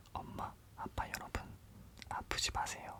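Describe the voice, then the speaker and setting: Over noticeable background noise, a man whispers very slowly. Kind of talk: ASMR whisper parody of a TV commercial. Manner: whispered.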